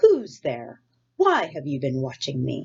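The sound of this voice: A put-on character voice, raspy and hissing, sits at a low-to-middle pitch. It moves at a fairly slow pace.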